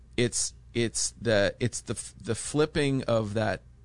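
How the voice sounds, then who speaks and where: A man speaks with ordinary pitch variation. Vocal fry runs through his voice. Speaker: podcast guest. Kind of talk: casual conversation.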